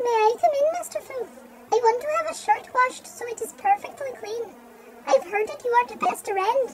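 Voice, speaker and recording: A put-on character voice squeaks at an extremely high pitch and a moderate pace. Background noise is clear. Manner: gentle, polite.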